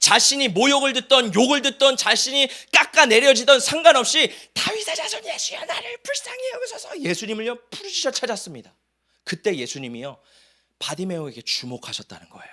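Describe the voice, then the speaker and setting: A man's raised, projected voice, extremely high in pitch, bright and sharp in tone, with very wide pitch swings at a fairly quick pace. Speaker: pastor. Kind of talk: sermon. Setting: church. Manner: animated.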